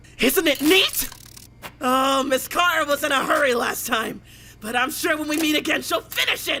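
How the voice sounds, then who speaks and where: A high-pitched cartoonish character voice speaks at a moderate pace. Clear background noise runs behind it. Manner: brash, mocking.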